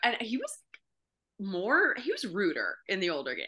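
A woman speaks at a moderate pace with an American accent. Her pitch is medium. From US South, Memphis. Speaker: improviser. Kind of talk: casual chat.

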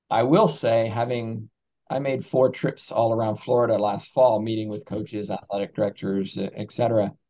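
This man has an American accent, a medium pitch, a dark, mellow tone, fairly even intonation and a moderate pace. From England. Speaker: professor of coaching. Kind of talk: interview.

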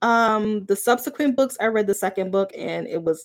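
Speaking in a plain, everyday voice, a woman talks at a fairly slow pace, with medium pitch and ordinary pitch variation. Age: 40s. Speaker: podcast host and librarian. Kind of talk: solo book review podcast, live. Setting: home, recorded live.

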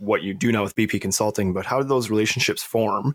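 A normal speaking voice with fairly even intonation goes at a moderate pace on a very clean recording with a silent background, the sound dry and close with no echo. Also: man. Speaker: podcast host. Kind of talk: casual interview.

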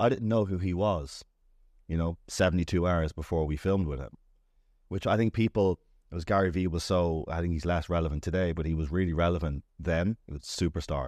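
A man with a Dublin accent speaks in a very deep, low voice. The recording is very clean and dry, close with no echo, and the background is silent. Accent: Dublin Irish. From Dublin, Ireland. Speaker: startup founder and CEO. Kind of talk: casual interview chat. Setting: studio.

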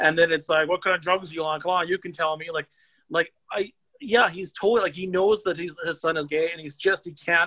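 With a Canadian accent and a bright, sharp tone, the voice moves at a fairly quick pace, with fairly even intonation but big swings in loudness. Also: man, high pitch for a man, dry, close sound with no echo. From Saskatchewan, Canada. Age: 40s. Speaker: horror film writer. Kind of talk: casual chat.

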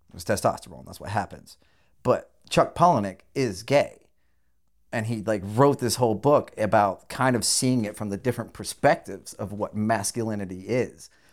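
On a very clean recording with a silent background, a man with a General American accent speaks at a fairly low pitch. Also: ordinary pitch variation. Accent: general American, deliberately enunciated. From rural Southern California. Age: 40s. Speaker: podcast host. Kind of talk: casual chat, profane.

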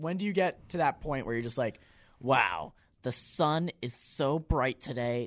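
A man's unremarkable speaking voice, fairly high in pitch, with an American accent, lively intonation and a moderate pace. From central Massachusetts, near Worcester. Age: 20s. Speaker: college student podcast co-host. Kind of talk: casual chat.

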